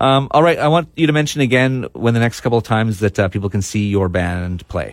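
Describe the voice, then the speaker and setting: An ordinary speaking voice moves at a fairly quick pace with lively intonation. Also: man, medium pitch for a man. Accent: Canadian. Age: 40s. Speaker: punk radio podcast host. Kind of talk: casual interview. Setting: studio.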